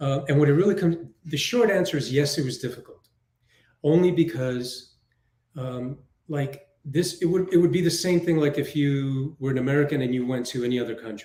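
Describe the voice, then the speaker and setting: A man speaks at a fairly quick pace in a fairly high, somewhat breathy voice with ordinary pitch variation. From New York City. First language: Spanish. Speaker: film director and writer. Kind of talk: interview. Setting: live online show.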